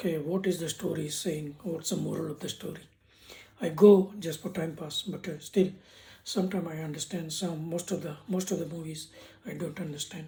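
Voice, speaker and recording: The speaker has an Indian accent and talks at a fairly quick pace. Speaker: YouTuber giving business lessons. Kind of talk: casual vlog talk. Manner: halting, with repetitions.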